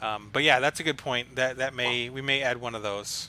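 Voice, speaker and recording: The man's tone is bright and sharp, and his intonation stays fairly even. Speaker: league organizer and stream host. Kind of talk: live stream chat. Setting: live online stream. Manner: monotone; hesitant, many fillers.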